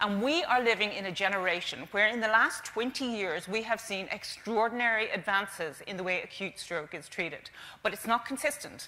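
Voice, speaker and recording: A woman speaks in an Irish accent. She barely pauses, with ordinary pitch variation. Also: medium pitch for a woman, fairly quick pace. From Ireland. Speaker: stroke charity representative. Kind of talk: conference presentation. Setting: stage with audience. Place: stage. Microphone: lapel.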